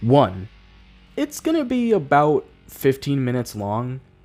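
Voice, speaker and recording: A man talks with music playing in the background. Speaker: animator and YouTuber. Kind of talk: scripted channel update talk to camera.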